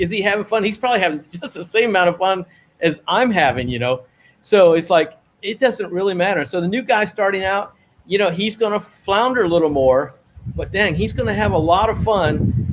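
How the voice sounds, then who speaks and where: A man's high-pitched voice in a relaxed tone with lively intonation. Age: 60s. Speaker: wing foiler. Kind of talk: interview answer. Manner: relaxed, conversational.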